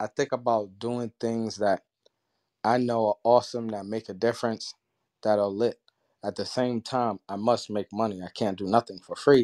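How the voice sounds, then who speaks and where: On a very clean recording with a silent background and a dry, close sound free of echo, a man speaks at a moderate pace in a dark, mellow, medium-pitched monotone. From Harlem, New York. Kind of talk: motivational speech.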